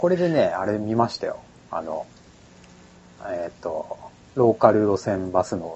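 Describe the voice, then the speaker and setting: A man speaks at a fairly slow pace, leaving long, frequent pauses. His fairly low voice makes very wide pitch swings. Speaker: podcast host. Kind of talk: casual chat.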